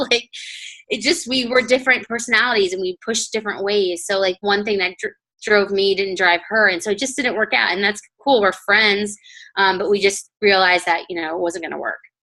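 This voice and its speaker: A woman with a medium pitch and a bright, sharp tone speaks with ordinary pitch variation. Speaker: network marketing coach. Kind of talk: team call presentation. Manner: fast.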